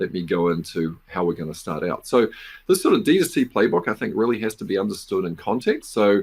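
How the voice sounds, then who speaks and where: The pace here is fairly quick. The speaker is a man with a New Zealand accent. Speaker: business professor and venture investor. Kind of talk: conference presentation. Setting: virtual conference.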